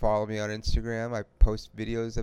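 A man at a moderate pace. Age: 40s. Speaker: podcast host. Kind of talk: casual chat.

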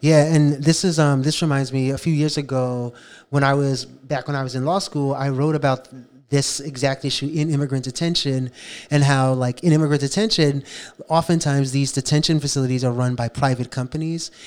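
The recording is very clean, with a silent background, as a man speaks with an American accent. His pitch is fairly high, his intonation fairly even and his pace fairly quick. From New York City (South Bronx). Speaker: podcast co-host, bail fund advocate. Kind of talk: casual discussion. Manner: hesitant, many fillers.

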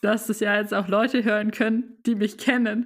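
A woman at a moderate pace. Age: 20s. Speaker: management consultant, new co-host for a season. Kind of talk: casual chat.

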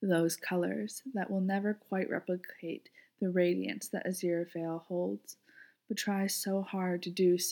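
A natural read-aloud voice with fairly even intonation

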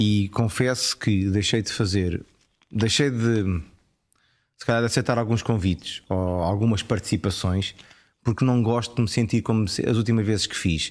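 A man with a European Portuguese accent talks at a moderate pace and fairly low pitch, with ordinary pitch variation. The recording is very clean, with a silent background. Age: 40s. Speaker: actor and TV presenter. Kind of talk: casual chat.

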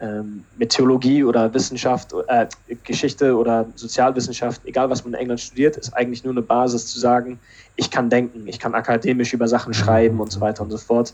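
A man speaks at a medium pitch and a fairly quick pace. His intonation is monotone and flat. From Berlin, Germany. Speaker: theologian and podcast co-host. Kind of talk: casual chat. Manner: halting.

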